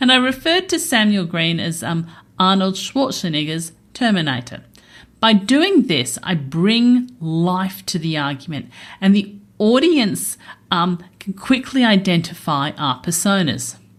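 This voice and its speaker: A woman with an Australian accent speaks at a fairly slow pace and medium pitch, somewhat breathy. Her pitch swings very widely, and the recording is very clean with a silent background. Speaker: accountant and podcast host. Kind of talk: podcast narration; live debate on stage. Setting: stage with audience at a festival.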